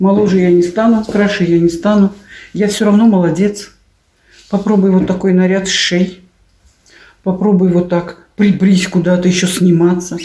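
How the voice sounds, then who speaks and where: A woman's somewhat breathy, flat monotone delivery, with very even loudness and long, frequent pauses. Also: medium pitch for a woman, moderate pace. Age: 60s. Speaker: video blogger. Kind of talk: casual vlog monologue.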